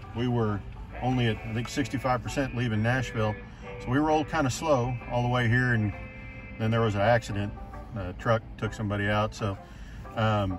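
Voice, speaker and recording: Moderately paced speech with fairly even intonation and long, frequent pauses, in a dry sound with no echo, over clear music in the background. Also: man. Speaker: EV road trip vlogger. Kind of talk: casual vlog chat. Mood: pleased, relaxed. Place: car. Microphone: phone near.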